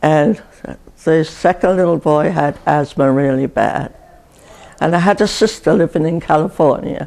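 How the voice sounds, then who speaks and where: Very deep and low in pitch, a woman speaks at a moderate pace with a dark, mellow tone and vocal fry. Her pitch varies in an ordinary way and her loudness stays very even. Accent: English. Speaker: retirement community resident, WWII civil servant. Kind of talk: oral history interview answer.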